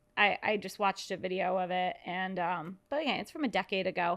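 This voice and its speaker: A woman talks at a moderate pace in a bright, sharp tone on a very clean recording with a silent background. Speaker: podcast co-host. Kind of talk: casual chat. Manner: talkative.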